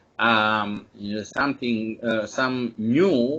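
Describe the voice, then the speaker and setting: A man with a Serbian accent speaks at a very slow pace. His voice is medium in pitch. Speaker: epidemiology expert speaker. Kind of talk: webinar presentation. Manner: halting, many fillers.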